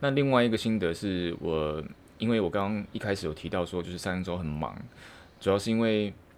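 The speaker talks at a fairly quick pace with a Taiwanese accent. Pitch varies in an ordinary way. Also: man, fairly low pitch for a man. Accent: Taiwanese Mandarin. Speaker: podcaster, office worker. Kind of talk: solo monologue. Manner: halting, many fillers.

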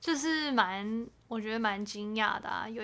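A woman is speaking. Her pace is fairly slow. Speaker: podcast co-host. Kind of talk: casual chat. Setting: home bedroom recording. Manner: subdued, low-energy delivery.

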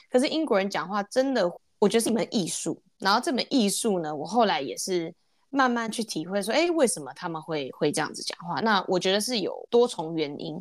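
A woman at a medium pitch, with very wide pitch swings and a fairly quick pace. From Taiwan. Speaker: podcast co-host. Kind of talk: casual chat.

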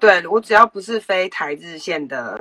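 A woman speaks in a bright, sharp tone. Her pitch varies in an ordinary way. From Taiwan. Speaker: former flight attendant. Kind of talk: interview.

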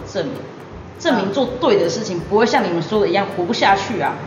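Against noticeable background noise and audible room echo, a woman speaks with lively intonation. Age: 20s. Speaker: young entrepreneur. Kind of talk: casual interview.

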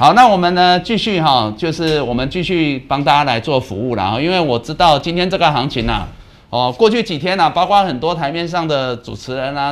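Fairly high in pitch with very wide swings, a man speaks at a fairly quick pace. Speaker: stock market show host, analyst. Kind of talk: live market commentary.

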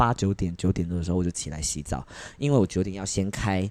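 A man at a very fast pace in a very clean recording with a silent background. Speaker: podcast co-host and drag performer. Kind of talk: casual chat.

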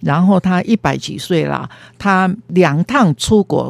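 A woman speaks very slowly at a fairly low pitch that swings very widely, recorded in a dry, close sound with no echo. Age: 70s. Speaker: retired counseling supervisor. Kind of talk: interview.

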